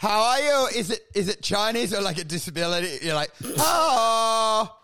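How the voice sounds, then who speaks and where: An animated man with an Australian accent, high-pitched and bright, sharp in tone, his voice raised and projected and his intonation lively. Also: moderate pace. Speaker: comedy podcast host. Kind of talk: casual chat.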